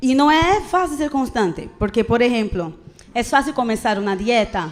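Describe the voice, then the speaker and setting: In a Brazilian accent, a woman speaks with a high pitch at a moderate pace. Her pitch swings very widely. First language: Portuguese (speaking Spanish). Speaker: preacher. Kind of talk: sermon. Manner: casual, conversational with frequent fillers.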